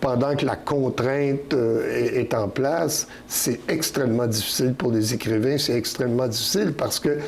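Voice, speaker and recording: A man speaks at a medium pitch and a fairly slow pace, with ordinary pitch variation. Noticeable background noise is present. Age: 70s. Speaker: poet. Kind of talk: interview. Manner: halting, many repetitions and fillers.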